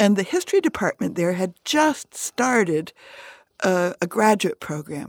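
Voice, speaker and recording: A woman with an American accent, medium pitch and very wide pitch swings, at a fairly slow pace, in a dry, close sound with no echo and a very clean, silent background. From US Midwest and upstate New York. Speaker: retired history professor. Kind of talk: radio interview. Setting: studio.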